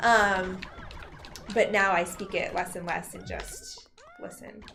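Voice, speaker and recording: A very slow pace, with noticeable background noise and audible room echo. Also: woman. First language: Farsi. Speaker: lawyer. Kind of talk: casual chat. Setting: live game stream.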